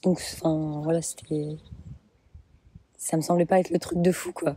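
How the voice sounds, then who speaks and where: A woman with a fairly low pitch speaks at a fairly slow pace in a monotone, flat intonation. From Brittany, France. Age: 20s. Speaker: mother sharing birth story. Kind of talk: interview. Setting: outdoors in a garden.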